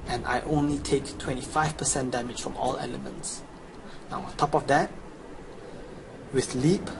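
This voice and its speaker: A man's fairly high voice at a moderate pace, with fairly even intonation, long, frequent pauses, and noticeable background noise. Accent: Chinese. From China. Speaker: gamer. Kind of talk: video game walkthrough. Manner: casual.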